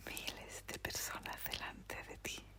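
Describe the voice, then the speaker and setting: Someone is whispering at a very slow pace. Background noise is noticeable. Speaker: podcast host. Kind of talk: sleep story reading. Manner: whispered.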